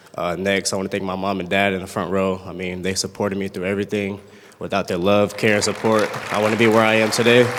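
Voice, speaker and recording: Against noticeable background noise, a man talks very fast at a fairly low pitch, his intonation monotone and flat. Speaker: college football player. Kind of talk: award acceptance speech. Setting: banquet stage with audience. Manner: halting, stuttering.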